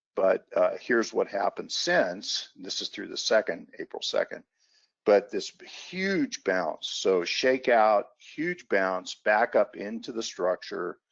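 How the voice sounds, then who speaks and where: The speech moves at a fairly slow pace with big swings in loudness, and the sound is dry and close with no echo. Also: man. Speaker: market analyst. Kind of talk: webinar presentation.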